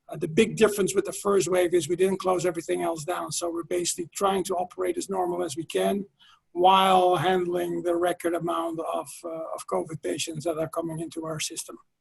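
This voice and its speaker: Talking at a fairly quick pace with hardly any pauses, a man speaks in a Dutch accent. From Netherlands. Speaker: healthcare marketing executive. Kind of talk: webinar panel talk. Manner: hesitant, many fillers.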